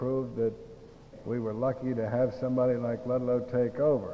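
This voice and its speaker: Someone speaks in a relaxed tone at a moderate pace over light background noise. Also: man. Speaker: president of board of trustees; speaker. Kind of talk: casual, self-deprecating speech; formal ceremonial speech. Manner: relaxed, folksy, hesitant with fillers. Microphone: old recording.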